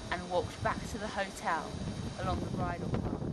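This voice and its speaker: A woman against loud background noise. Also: dry sound with no echo. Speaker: TV presenter. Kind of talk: presenter piece to camera, storytelling. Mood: storytelling, slightly dramatic. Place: open country.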